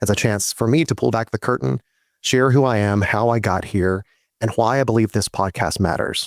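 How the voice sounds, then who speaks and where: This American-accented man has a fairly low pitch, some vocal fry and a fairly quick pace. The recording is very clean with a silent background and sounds dry and close, with no echo. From US South, Georgia. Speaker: actor and podcast host. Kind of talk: podcast monologue.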